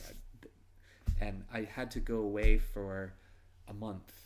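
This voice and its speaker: A man with an American accent, monotone and flat in intonation, with audible room echo. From US Northeast (Massachusetts). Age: 40s. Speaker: podcast host, Navy veteran. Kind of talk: casual interview chat. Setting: in person in Moscow.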